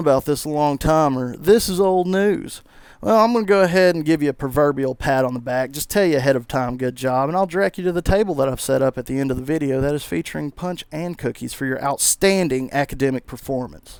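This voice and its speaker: On a very clean recording with a silent background, a man with a strong Southern US accent speaks in an animated tone at a fairly quick pace, his fairly high voice showing ordinary pitch variation. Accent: thick Southern US. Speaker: gaming YouTuber. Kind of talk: video commentary. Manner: mumbling at times; casual, animated rant.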